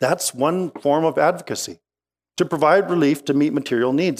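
A man with a Western Canadian accent talks at a fairly quick pace with ordinary pitch variation on a very clean recording with a silent background. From Okanagan Valley, British Columbia, Canada. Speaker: pastor. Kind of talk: sermon.

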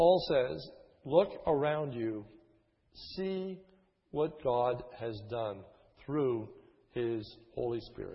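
Speaking at a very slow pace with long, frequent pauses, a man with an American accent uses lively intonation at a medium pitch in a somewhat breathy voice. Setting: church. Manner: avoids theatrics, natural voice.

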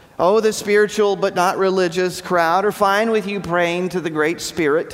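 At a fairly slow pace, a man talks in a high pitch. Room echo is audible and background noise is noticeable. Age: 40s. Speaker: pastor. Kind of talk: sermon.

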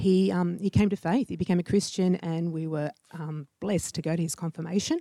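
Speaking with an Australian accent, a woman uses a fairly low voice with a dark, mellow tone and fairly even intonation, in dry, close sound with no echo. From Sydney northern beaches. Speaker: HR director. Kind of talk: interview. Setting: church.

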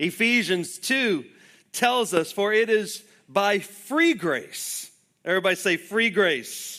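A man speaks in a raised, projected voice, high in pitch and bright and sharp in tone. His pace is very slow. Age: 40s. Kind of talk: sermon.

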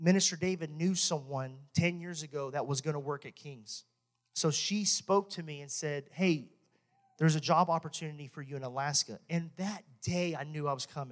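This man has a fairly high voice and a Texan accent. He talks at a moderate pace. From Texas. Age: 30s. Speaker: pastor. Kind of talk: sermon. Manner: animated.

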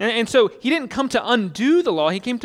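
Pitched high, a man speaks with very wide pitch swings. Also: very clean recording, silent background. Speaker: pastor. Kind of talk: sermon. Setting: church. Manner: fast talker; teaching, explanatory.

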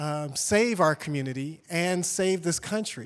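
A man's fairly high-pitched voice in a very clean recording with a silent background. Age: 40s. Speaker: community leader and publisher. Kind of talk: speech to church audience. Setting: church stage with audience. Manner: halting, many fillers.

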